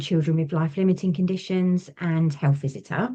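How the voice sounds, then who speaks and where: With an English accent, a woman speaks over a quiet background. Her pitch variation is ordinary. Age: 40s. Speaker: small business owner, ex-nurse. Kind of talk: interview chat.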